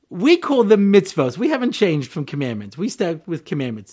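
A man speaks with a New York accent at a moderate pace. His pitch swings very widely. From Long Island, New York. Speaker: rabbi. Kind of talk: lecture.

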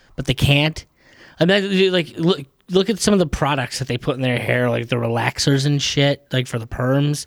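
A man with an ordinary speaking voice talks at a moderate pace, with a fairly high pitch and ordinary pitch variation. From New York. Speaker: podcast guest. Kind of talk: casual chat.

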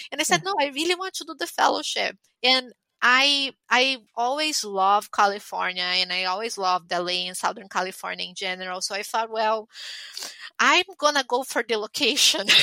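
Recorded with a dry, close sound and no echo, a woman with a Portuguese accent speaks at a moderate pace, her fairly high pitch making very wide swings. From Brazil. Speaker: pathologist. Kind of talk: interview.

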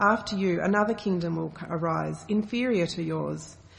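A woman speaks at a moderate pace with vocal fry.

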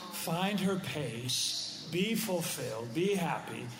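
Noticeable background noise behind a male speaker. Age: 60s. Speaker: pastor. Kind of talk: casual chat.

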